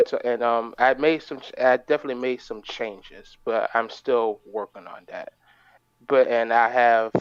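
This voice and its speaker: In a bored tone, the speaker talks at a moderate pace with monotone, flat intonation and big swings in loudness, in a dry, close sound with no echo. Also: man. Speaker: livestream caller asking writing advice. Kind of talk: casual chat. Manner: halting, many fillers; flat, bored-sounding.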